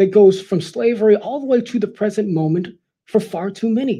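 Speaking with an American accent, a man has a high pitch, a dark, mellow tone and ordinary pitch variation. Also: quiet background. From Los Angeles, California. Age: 30s. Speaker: political commentator. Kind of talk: prepared speech. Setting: live event with audience. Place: hall. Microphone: headset.

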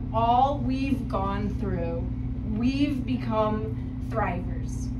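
A woman speaks over loud background noise. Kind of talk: reading aloud to an audience. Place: hall. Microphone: camera far.

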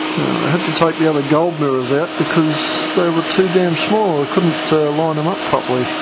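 Over loud background noise, a man talks at a moderate pace with hardly any pauses. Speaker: hobbyist maker. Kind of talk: casual show-and-tell to camera. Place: workshop. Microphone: phone near.

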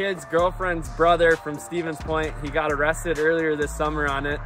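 A man speaks in a monotone with flat intonation. Clear music plays behind him, and the sound is dry with no echo. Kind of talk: casual vlog chat. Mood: amused, joking storytelling. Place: open country. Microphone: phone near.

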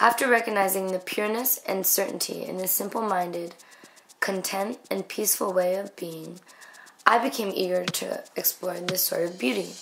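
A woman with an American accent at a medium pitch and moderate pace, ordinary pitch variation, amid noticeable background noise. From New York City. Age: 20s. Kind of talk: scholarship application video narration.

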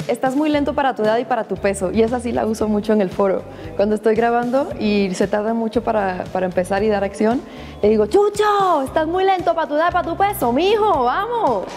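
Over faint background music, a woman with a fairly high pitch talks in an upbeat tone at a fairly quick pace, her pitch swinging very widely. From Cuba. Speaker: actress. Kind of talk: interview answer. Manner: casual, upbeat. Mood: playful, animated. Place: studio. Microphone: lapel.

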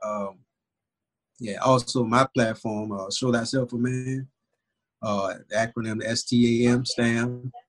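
Against a quiet background, a man speaks at a very slow pace with monotone, flat intonation and long, frequent pauses. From New Orleans, Louisiana. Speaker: father and podcast host; podcast host. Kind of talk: casual interview conversation. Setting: remote call. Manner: halting with frequent repetitions. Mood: calm, reflective. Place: home room. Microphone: video call.

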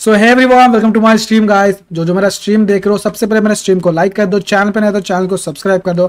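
Speaking at a very fast pace, a man uses a high voice with fairly even intonation. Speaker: game streamer. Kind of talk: casual live stream chat. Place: home room. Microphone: headset.

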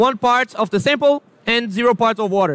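Speaking with a Portuguese accent, a man uses an extremely high pitch with ordinary pitch variation in a dry sound with no echo. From Brazil. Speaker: product specialist presenter. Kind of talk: product presentation. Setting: trade fair booth with audience. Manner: hesitant with fillers. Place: hall. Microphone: lapel.

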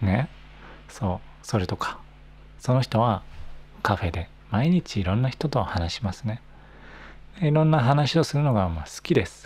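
At a moderate pace, a man talks in a somewhat breathy voice with very wide pitch swings and long, frequent pauses. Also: medium pitch for a man. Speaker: Japanese language teacher podcaster. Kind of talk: casual monologue for learners. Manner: natural speed, relaxed. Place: home room. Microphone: handheld.

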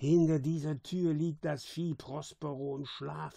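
Hissing, a man puts on a character voice at a fairly high pitch. His pace is fairly slow.

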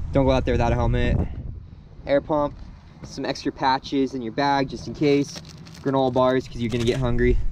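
The speech moves at a moderate pace, with a dry sound with no echo and light background noise. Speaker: mountain bike vlogger. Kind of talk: casual vlog chat. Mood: upbeat, relaxed. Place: street. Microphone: phone near.

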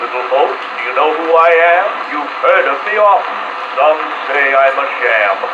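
Loud background noise fills the clip. A man speaks at a fairly slow pace, with long, frequent pauses. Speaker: actor playing Santa Claus. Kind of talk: vintage record storytelling, scripted children's Christmas monologue in rhyme. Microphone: old recording.

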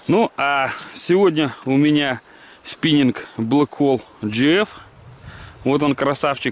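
Speaking at a very slow pace, a man shows ordinary pitch variation in a dry sound with no echo. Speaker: fishing vlogger. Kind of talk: casual vlog chat. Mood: cheerful, relaxed. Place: waterside. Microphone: phone near.

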